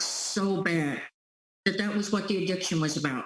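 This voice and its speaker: A woman with an American accent talks at a moderate pace in a normal speaking voice, with ordinary pitch variation. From US. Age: 60s. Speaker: relationship empowerment coach. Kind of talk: interview testimony.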